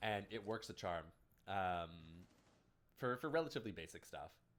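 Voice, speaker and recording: His pitch swings very widely, with vocal fry running through it. The man has a Canadian accent. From Canada. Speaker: esports caster and streamer. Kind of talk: casual chat with stream viewers; live commentary. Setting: livestream. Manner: animated.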